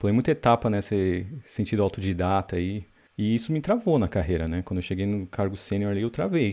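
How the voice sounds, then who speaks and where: Speaking at a fairly quick pace over a quiet background, a man has a dark, mellow tone and a fairly low pitch with ordinary variation. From Brazil. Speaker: software developer and online course creator. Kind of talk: casual interview chat.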